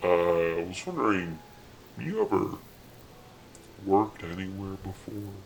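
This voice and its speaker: A man's very deep, low voice at a fairly slow pace, over clear background noise. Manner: awkward, businesslike.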